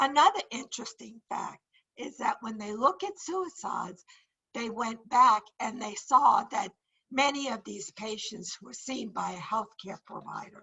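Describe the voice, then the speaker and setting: Vocal fry runs through a woman's fairly slow speech. Her intonation is lively, and her loudness swings widely. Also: fairly high pitch for a woman. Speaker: nursing or psychiatry instructor. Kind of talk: lecture. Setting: video call.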